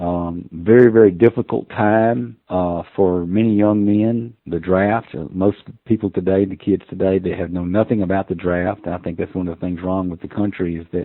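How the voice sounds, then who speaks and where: A man with an American accent speaks at a moderate pace with hardly any pauses, his very deep, low pitch moving with ordinary variation. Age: 60s. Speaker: hunting call maker. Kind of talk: casual interview chat.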